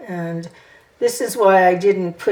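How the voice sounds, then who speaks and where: A woman speaks at a fairly slow pace. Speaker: art teacher. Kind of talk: painting tutorial. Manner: mumbling; hesitant, thinking aloud.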